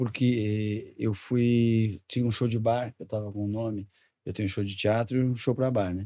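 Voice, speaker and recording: Over a quiet background, a man talks at a moderate pace in a dark, mellow tone with monotone, flat intonation. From Rio Grande do Sul, Brazil. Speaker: comedian. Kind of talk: casual chat. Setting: studio. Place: studio. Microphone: studio mic.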